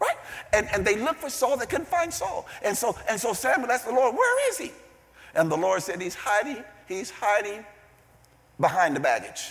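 A man with a high voice talks at a moderate pace, his pitch swinging very widely, with long, frequent pauses over noticeable background noise. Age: 60s. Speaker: visiting preacher. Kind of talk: sermon. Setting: church. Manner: animated.

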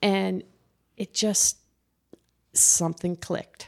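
With a New Jersey accent, a woman talks at a fairly low pitch in a monotone, flat way. The recording is very clean, with a silent background. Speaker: recovering alcoholic guest. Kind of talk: casual interview.

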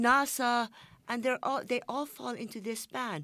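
A woman with a Persian accent in a very clean recording with a silent background. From Iran. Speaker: journalist. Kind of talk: panel discussion. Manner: halting.

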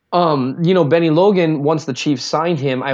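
Against a quiet background, the speaker talks with a Minnesotan accent. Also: man. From US Minnesota. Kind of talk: casual chat about football. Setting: remote call.

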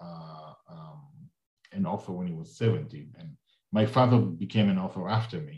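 A man with a fairly low pitch speaks at a fairly slow pace, sounding somewhat breathy and making very wide pitch swings. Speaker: podcast host. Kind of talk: interview.

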